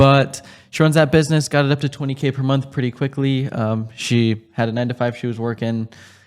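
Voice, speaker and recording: At a fairly quick pace, this speaker has an unremarkable speaking voice with an American accent, recorded very cleanly against a silent background. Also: man, medium pitch for a man, fairly even intonation. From Southern California high desert. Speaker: entrepreneur, cleaning business coach. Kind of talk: podcast interview host. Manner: casual.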